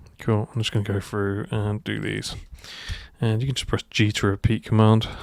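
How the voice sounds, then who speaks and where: At a moderate pace, a man in a normal speaking voice talks at a fairly low pitch with fairly even intonation. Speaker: 3D modelling tutor. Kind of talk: tutorial. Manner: casual, thinking aloud.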